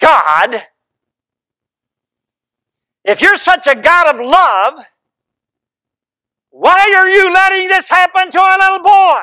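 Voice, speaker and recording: In a put-on character voice, a man hisses at an extremely high pitch, speaking at a fairly slow pace with long, frequent pauses. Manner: hissed through bared teeth.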